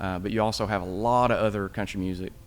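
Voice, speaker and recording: With an East Tennessee accent, the speaker moves at a fairly quick pace with fairly even intonation, and the room echo is audible. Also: man. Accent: local East Tennessee. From East Tennessee, Smoky Mountains. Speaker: podcast co-host. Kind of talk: casual conversation. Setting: historic theater building.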